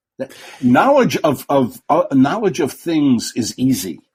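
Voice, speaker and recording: Somewhat breathy and fairly high, a man's voice moves through very wide pitch swings. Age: 70s. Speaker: former TV host. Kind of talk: casual interview. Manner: halting.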